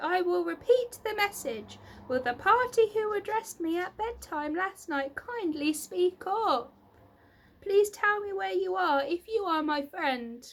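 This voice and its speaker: A woman's squeaky, put-on character voice, raised and projected, at an extremely high pitch. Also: fairly slow pace. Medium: read story. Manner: eager, earnest.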